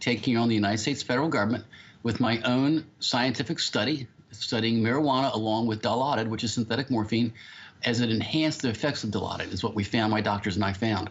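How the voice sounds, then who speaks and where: A man talks very fast with an American accent, keeping his loudness very even. His pitch is medium, with ordinary variation. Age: 60s. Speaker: medical cannabis patient and advocate. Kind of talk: keynote speech. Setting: conference stage.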